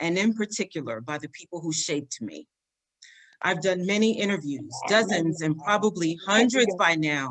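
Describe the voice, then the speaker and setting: This woman has a normal speaking voice, fairly low in pitch. She talks at a moderate pace with lively intonation. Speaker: higher education health and wellness executive, interviewer. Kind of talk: introduction to camera.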